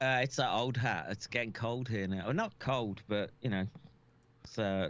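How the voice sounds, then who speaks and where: A man with a British accent, medium in pitch, at a moderate pace with very even loudness. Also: ordinary pitch variation. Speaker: doctor. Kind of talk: casual chat. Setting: live stream. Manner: halting.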